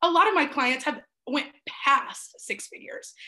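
A woman's raised, projected voice, high in pitch, at a moderate pace. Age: 20s. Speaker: life coach. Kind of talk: interview.

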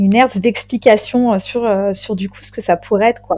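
A woman's dark, mellow tone at a fairly slow pace, with fairly even intonation. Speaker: ghost hunter, undertaker. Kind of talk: casual chat.

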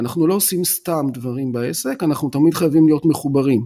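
Fairly high in pitch, this man speaks at a fairly quick pace. His tone is dark and mellow, on a very clean recording with a silent background. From Israel, Tel Aviv. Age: 50s. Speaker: business coach and consultant. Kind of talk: podcast interview.

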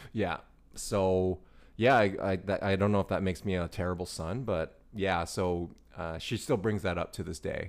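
On a very clean recording with a silent background, a man with a very deep, low pitch talks at a moderate pace with fairly even intonation. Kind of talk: casual chat. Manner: relaxed.

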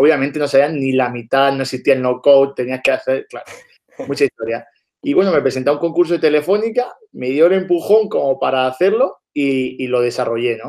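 This man's pitch is fairly high and varies in an ordinary way, and he talks at a fairly quick pace. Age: 20s. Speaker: entrepreneur. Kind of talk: casual interview.

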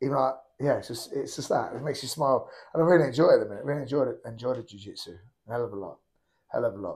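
The man's speech comes at a very fast pace. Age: 30s. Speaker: MMA fighter and coach. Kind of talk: casual interview chat.

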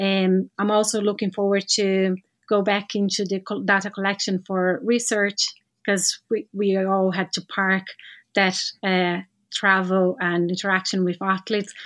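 Monotone, flat intonation in a Portuguese accent, captured in a very clean recording with a silent background. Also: woman, medium pitch for a woman, fairly slow pace. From Brazil. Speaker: physiotherapist and para-sport classifier. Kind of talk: interview.

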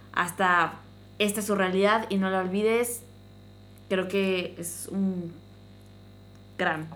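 Through audible room echo, a woman at medium pitch speaks at a fairly slow pace with fairly even intonation. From Mexico, small town. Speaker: podcast host. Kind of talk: casual chat.

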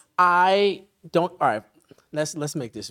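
With an American accent, a man talks at a very slow pace in a fairly high voice with ordinary pitch variation. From Easton, Pennsylvania. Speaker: musician and military veteran. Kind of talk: casual chat.

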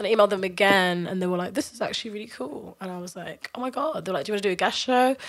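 A very fast-talking woman in a London accent, with big swings in loudness. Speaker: dance music artist, interviewed guest. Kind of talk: casual chat, podcast interview.

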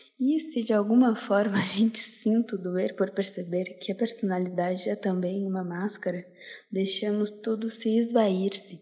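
A woman of medium pitch talks with fairly even intonation in a plain, everyday voice. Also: fairly slow pace. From Porto Alegre, southern Brazil. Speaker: slam poet. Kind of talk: spoken word poetry, slam performance. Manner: intense, rhythmic, emotive delivery; reflective, introspective.

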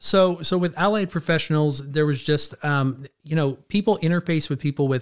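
With an American accent, a man in a normal speaking voice talks at a moderate pace, his fairly high pitch showing ordinary variation, on a very clean recording with a silent background. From California, Clovis near Fresno. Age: 40s. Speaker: addiction counselor and trainer. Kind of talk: interview conversation.

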